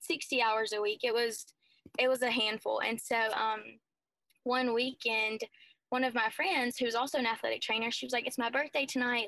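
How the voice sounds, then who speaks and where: This woman has an American accent. Her tone is bright and sharp. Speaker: college student, survivor. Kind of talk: testimony. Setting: video call.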